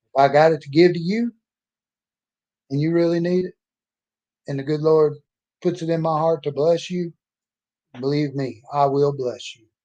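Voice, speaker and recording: Against long, frequent pauses and big swings in loudness, a man with a Southern US accent speaks in a fairly high pitch, a dark, mellow tone and fairly even intonation. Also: moderate pace. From Mississippi. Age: 60s. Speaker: author and oil field worker. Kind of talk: personal monologue vlog. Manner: emphatic, can get loud.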